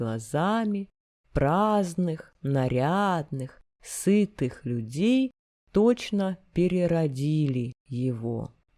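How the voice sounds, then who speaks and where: A woman with a very deep, low pitch speaks at a very slow pace. Her tone is dark and mellow, with very wide pitch swings. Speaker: narrator reading literature. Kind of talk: reading aloud.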